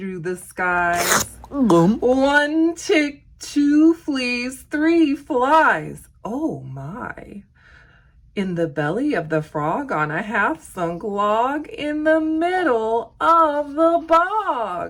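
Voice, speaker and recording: A woman speaks at a very slow pace with a high pitch. Her voice makes very wide pitch swings. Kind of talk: children's storytime read-aloud. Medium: read story. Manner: lively, expressive, sing-song rhythm.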